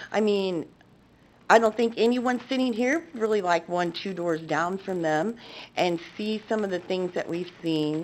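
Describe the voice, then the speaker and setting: A woman speaks fairly slowly at a medium pitch. She has an ordinary speaking voice with ordinary pitch variation. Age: 60s. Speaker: public commenter, business owner. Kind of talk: public comment at council meeting. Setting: council chamber.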